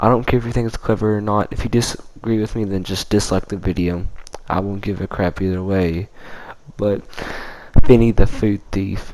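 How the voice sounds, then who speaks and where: Over noticeable background noise, a man with a fairly low pitch talks at a moderate pace. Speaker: gaming YouTuber. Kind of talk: unscripted gameplay narration. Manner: halting, stuttering; casual, informal.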